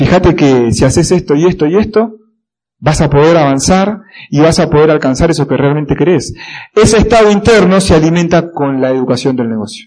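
Speaking at a fairly quick clip, a man with an Argentine accent uses lively intonation in a fairly high-pitched voice. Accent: Rioplatense Argentine Spanish. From Argentina, La Plata (Buenos Aires province). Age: 20s. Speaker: motivational speaker. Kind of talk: motivational talk. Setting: stage with audience.

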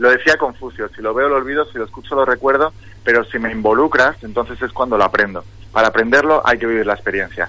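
At a very fast pace, a man with a medium pitch speaks in a bright, sharp tone with ordinary pitch variation. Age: 30s. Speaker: motivational coach. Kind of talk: radio interview. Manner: enthusiastic.

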